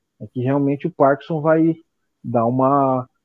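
At a fairly slow pace, a man with a fairly high pitch speaks in an ordinary speaking voice. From São Paulo state interior, Penápolis. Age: 40s. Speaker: drummer and NGO founder. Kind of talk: casual interview.

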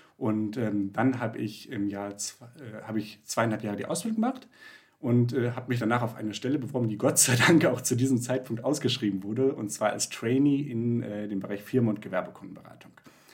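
A man's fairly even, medium-pitched voice moves at a fairly quick pace. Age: 20s. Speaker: finance founder, real estate investor. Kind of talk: casual interview. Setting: video call. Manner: hesitant, many filler sounds.

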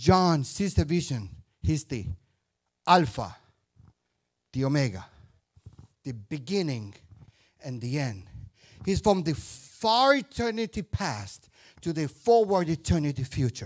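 Fairly high-pitched for a man and somewhat breathy, this animated male voice moves at a fairly slow pace with very wide pitch swings and long, frequent pauses. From Indian-Puerto Rican background. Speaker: guest preacher. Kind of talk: sermon. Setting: church.

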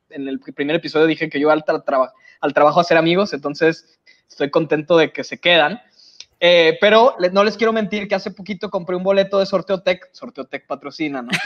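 A man's high-pitched, fairly quick speech with a Mexican accent and ordinary pitch variation, in a dry, close sound with no echo. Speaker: podcast co-host. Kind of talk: casual chat.

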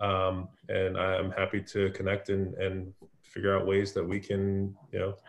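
A man with an American accent speaks at a fairly low pitch against a quiet background. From US West Coast (San Francisco Bay Area). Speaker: marketing executive. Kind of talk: interview.

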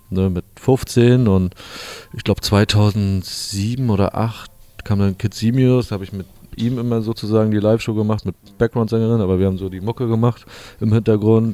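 A man speaks at a moderate pace in a fairly low pitch, with flat, monotone intonation. The sound is dry and close with no echo, though noticeable background noise is present. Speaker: DJ and music producer. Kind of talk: casual interview chat. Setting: hotel lobby.

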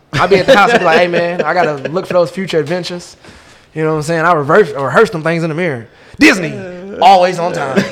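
A man speaks very fast at a high pitch with an animated tone and ordinary pitch variation. Noticeable background noise is present. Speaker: comedian. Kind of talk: casual chat.

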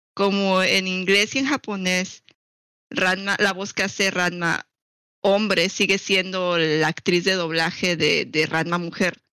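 Very slowly, a woman speaks with medium pitch, a bright, sharp tone and fairly even intonation. The recording is very clean, with a silent background. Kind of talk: casual chat.

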